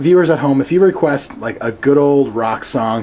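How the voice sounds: A woman with an extremely low pitch, a dark, mellow tone, lively intonation and a moderate pace, over faint background noise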